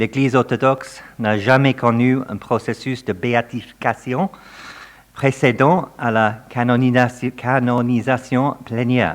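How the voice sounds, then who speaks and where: Very slow speech from a man, medium in pitch, with fairly even intonation. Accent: non-native. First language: not French (speaking French). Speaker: professor of theology. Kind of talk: academic lecture. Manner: reading from prepared text.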